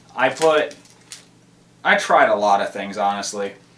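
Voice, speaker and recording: There is noticeable background noise as a man speaks. His intonation is lively and his pace moderate. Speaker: camera reviewer. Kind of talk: casual vlog.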